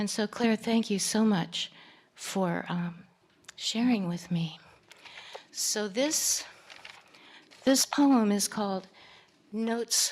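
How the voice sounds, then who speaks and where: Over noticeable background noise, a woman talks at a very slow pace, with long, frequent pauses. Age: old. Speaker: poet. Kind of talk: poetry reading.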